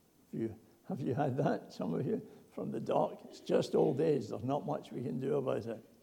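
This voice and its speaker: A man's fairly quick speech carries audible room echo. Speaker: preacher. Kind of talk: sermon.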